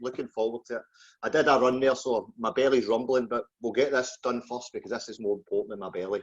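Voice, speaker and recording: A man talks very fast with a Glaswegian accent, his intonation fairly even. The sound is dry and close, with no echo. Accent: Glaswegian Scottish. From Scotland, just outside Glasgow. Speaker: podcast host. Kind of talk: interview.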